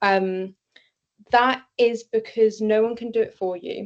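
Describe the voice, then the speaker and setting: Against a quiet background, a woman talks in a British accent with monotone, flat intonation. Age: young. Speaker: neurodivergent advocate and author. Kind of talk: interview answer. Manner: hesitant, many fillers.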